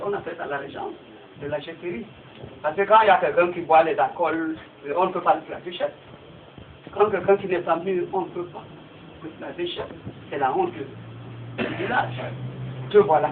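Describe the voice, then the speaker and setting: With long, frequent pauses and big swings in loudness, a man with a high pitch speaks at a moderate pace and ordinary pitch variation over noticeable background noise. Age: 60s. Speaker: village chief. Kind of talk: public meeting address.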